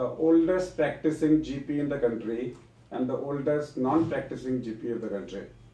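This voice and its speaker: A man speaks fairly slowly with ordinary pitch variation. The room echo is audible. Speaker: doctor hosting a medical association webcast. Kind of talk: live webcast introduction. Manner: halting with frequent fillers.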